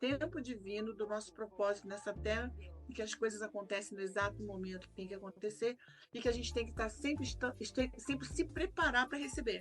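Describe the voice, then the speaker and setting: A woman's voice with vocal fry. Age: 60s. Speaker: actress and soprano singer. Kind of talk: interview conversation.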